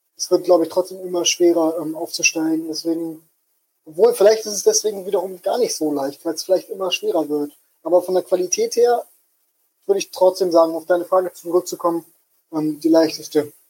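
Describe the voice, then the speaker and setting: Speaking at a fairly quick pace, a man with a high pitch and a dark, mellow tone keeps his intonation fairly even. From Hamburg, northern Germany. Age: 20s. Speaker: football fan, prediction game winner. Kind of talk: casual chat. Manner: halting, many fillers.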